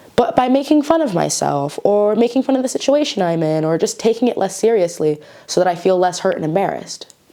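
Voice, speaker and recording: A woman speaks at a very fast pace with hardly any pauses, over noticeable background noise. Her medium pitch makes very wide swings. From United States, Mexican-American. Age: 20s. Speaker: actress and writer. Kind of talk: casual talk to camera. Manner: chatty, informal.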